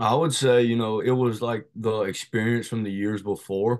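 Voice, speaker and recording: With an American accent, a man talks at a moderate pace in fairly even intonation and an unremarkable speaking voice. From North Carolina, Shelby. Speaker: college baseball player. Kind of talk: interview.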